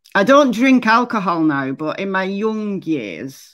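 A woman speaks with a Lancashire accent and very wide pitch swings. The background is quiet. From northern England. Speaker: true crime YouTuber. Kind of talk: casual livestream commentary. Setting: livestream. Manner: chatty.

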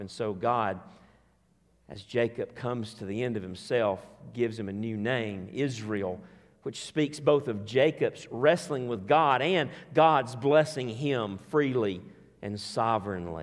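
A man speaks slowly at a medium pitch, his pitch moving in an ordinary way.

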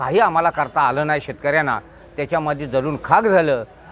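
Noticeable background noise behind a man with a fairly high-pitched voice. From Raigad district, Konkan, Maharashtra. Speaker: farmer. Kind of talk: interview statement. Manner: halting.

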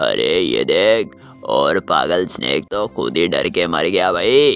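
A man performs a cartoonish character voice at a moderate pace. Faint music plays in the background. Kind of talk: cartoon voice dub over gameplay.

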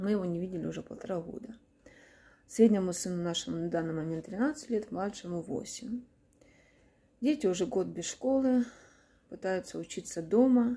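A woman with a dark, mellow tone and a somewhat breathy voice speaks at a moderate pace, leaving long, frequent pauses. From Kharkiv, Ukraine; Ukraine. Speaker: war-displaced mother. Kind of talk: testimony; personal testimony appeal. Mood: sad, subdued. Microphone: phone near.

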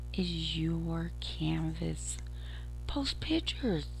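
A woman's very deep, low voice over music in the background. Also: dry sound with no echo. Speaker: podcaster. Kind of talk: casual vlog chat. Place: home room. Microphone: headset.

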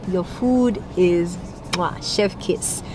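Light background noise accompanies a woman with ordinary pitch variation. The sound is dry, without echo. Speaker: food vlogger. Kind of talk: casual vlog chat. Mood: cheerful, full after meal. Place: car. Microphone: phone near.

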